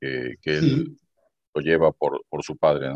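A man talks at a fairly slow pace with vocal fry. The sound is dry and close, with no echo. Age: 50s. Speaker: retired telecom worker and businessman. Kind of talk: interview.

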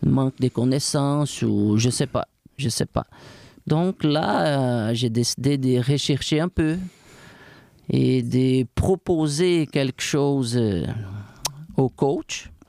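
A man's dark, mellow tone with a Brazilian accent, very slow pace, long, frequent pauses, ordinary pitch variation and very even loudness, in a dry, close sound with no echo. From Brazil, warm coastal region. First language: Portuguese (speaking French). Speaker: fitness coach. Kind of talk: interview.

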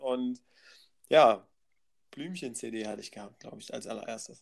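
The recording is very clean, its background silent. The speaker is a man. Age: 30s. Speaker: podcast guest. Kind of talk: casual chat.

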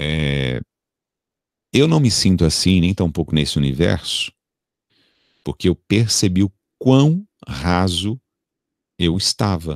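In a very clean recording with a silent background and a dry, close sound free of echo, a man with a very deep, low voice speaks very slowly with long, frequent pauses, very even loudness and lively intonation. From Brazil, São Paulo. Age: 40s. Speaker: radio announcer and TV presenter. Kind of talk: casual interview.

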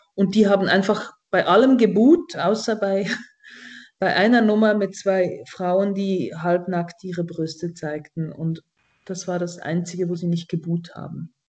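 A woman's unremarkable speaking voice, fairly slow, with fairly even intonation. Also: medium pitch for a woman. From Switzerland. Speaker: satirist and cabaret artist. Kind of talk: casual comedic chat.

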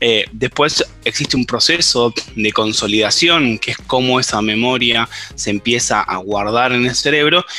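Amid noticeable background noise, a man with an Argentine accent speaks at a fairly slow pace, using medium pitch and ordinary pitch variation. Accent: Rioplatense Argentine Spanish. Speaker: biologist and researcher. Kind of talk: interview. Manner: hesitant, with many fillers.

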